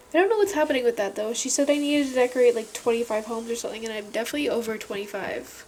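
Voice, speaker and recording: A woman talks at a very fast pace with hardly any pauses, her pitch high and ordinary in variation. Noticeable background noise runs underneath. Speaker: gaming video creator. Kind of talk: casual gameplay chat. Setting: home recording alone in room. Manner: quiet, soft-spoken.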